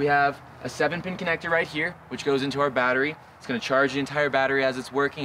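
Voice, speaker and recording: A man speaks at a very fast pace. The sound is dry with no echo, over light background noise. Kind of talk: product walkthrough. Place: forest. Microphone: camera far.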